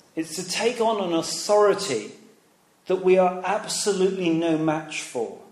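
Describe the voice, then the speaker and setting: With an English accent, the speaker goes at a fairly slow pace amid audible room echo. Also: man. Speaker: preacher. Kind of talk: sermon.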